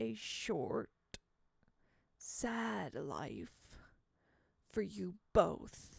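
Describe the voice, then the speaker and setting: The speaker puts on a character voice pitched low. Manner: sad, ominous.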